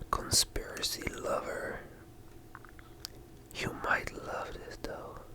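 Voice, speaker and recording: Whispering at a very slow pace, a man leaves long, frequent pauses. Background noise is noticeable. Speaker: ASMR creator. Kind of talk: slow ASMR book reading. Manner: slow, soft-spoken, relaxing.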